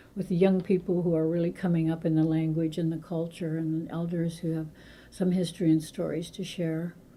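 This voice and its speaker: A woman's voice sounds somewhat breathy, with a fairly low pitch and a dark, mellow tone. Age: 80s+. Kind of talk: interview. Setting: radio studio.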